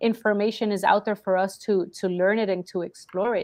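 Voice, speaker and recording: With a Spanish accent, a woman speaks at a fairly quick pace using fairly even intonation. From Colombia, Cali. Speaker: marketing business owner. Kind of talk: interview.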